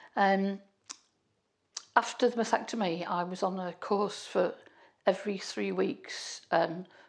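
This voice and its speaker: Against a silent background in a very clean recording, a woman speaks at a fairly slow pace and medium pitch, with vocal fry and fairly even intonation. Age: 60s. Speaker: cancer patient sharing her story. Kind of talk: personal testimony. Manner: halting, many fillers and restarts.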